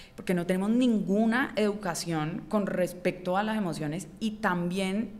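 An unremarkable speaking voice moves at a fairly slow pace with fairly even intonation and hardly any pauses. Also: woman, medium pitch for a woman. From Colombia, Cali. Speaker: writer and illustrator; podcast guest. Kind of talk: interview conversation. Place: studio. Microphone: studio mic.

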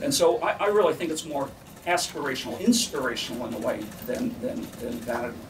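Light background noise sits behind a man talking at a fairly quick pace. His fairly high pitch moves in very wide swings. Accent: American. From New York. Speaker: architect, committee chair. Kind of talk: press conference. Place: meeting room.

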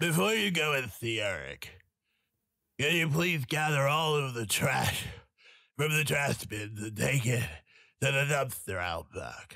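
Putting on a character voice, a man speaks raspily at a medium pitch and a fairly slow pace, with lively intonation and long, frequent pauses. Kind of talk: game dialogue instruction.

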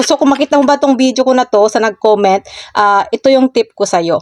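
A woman's high-pitched, very fast speech, dry and close with no echo, over noticeable background noise. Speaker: social media content creator. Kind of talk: casual vlog tips.

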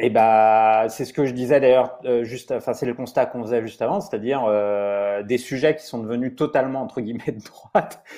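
A man's dark, mellow voice at a fairly quick pace, fairly even in intonation, with hardly any pauses, over a quiet background. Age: 40s. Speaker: investigative journalist. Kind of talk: interview. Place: home room. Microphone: earbuds.

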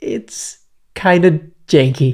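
Behind this man's speech, the background stays quiet. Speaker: software tutorial creator. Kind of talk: tutorial. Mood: cheerful, relaxed. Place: home room. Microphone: studio mic.

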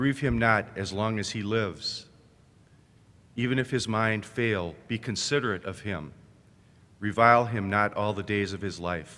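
With a bright, sharp tone and fairly low pitch, a man speaks at a moderate pace with ordinary pitch variation and long, frequent pauses. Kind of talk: scripture reading. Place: church. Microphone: podium.

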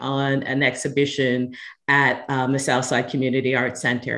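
Against a quiet background, a woman with an American accent speaks at a moderate pace. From Philadelphia, US. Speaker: art conservator and educator; educator. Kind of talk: panel discussion. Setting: video call.

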